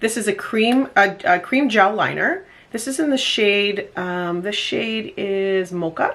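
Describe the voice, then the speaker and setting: A woman speaks in a normal speaking voice at medium pitch with ordinary pitch variation. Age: 50s. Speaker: makeup enthusiast. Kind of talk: makeup tutorial talk to camera. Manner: casual, relaxed.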